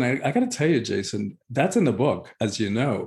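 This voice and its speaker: A man speaks with a Spanish accent. His voice is somewhat breathy. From Cuba. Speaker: spiritual teacher and author. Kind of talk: interview.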